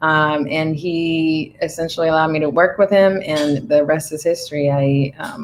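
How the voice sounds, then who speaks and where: A woman with a Spanish accent, very deep, low pitch, fairly even intonation and a moderate pace. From Dominican Republic. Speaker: Navy veteran and cannabis entrepreneur. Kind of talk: interview. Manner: hesitant, many fillers.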